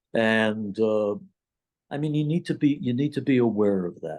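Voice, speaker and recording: A dark, mellow tone with lively intonation at a moderate pace. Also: man. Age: 60s. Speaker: addiction psychologist. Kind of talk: interview. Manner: halting, many fillers and repeats.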